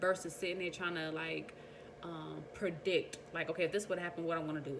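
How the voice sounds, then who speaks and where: A woman with a fairly low voice speaks very fast and with fairly even intonation, with audible room echo and noticeable background noise. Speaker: vlogger. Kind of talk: casual monologue.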